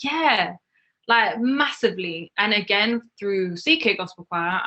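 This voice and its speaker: With a London accent, a woman speaks. Her intonation is lively. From northwest London. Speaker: singer-songwriter. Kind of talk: interview.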